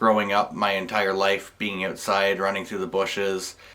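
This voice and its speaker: Against noticeable background noise, a man with a Canadian accent speaks at a fairly quick pace with a fairly low pitch. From Canada, rural Ontario. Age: 20s. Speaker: photographer. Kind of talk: personal video monologue. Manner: casual, some hesitations.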